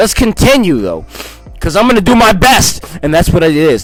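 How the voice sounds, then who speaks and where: A man speaks. Music plays in the background. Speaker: scripture reader, religious channel host. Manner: halting, frequent repetitions and self-corrections.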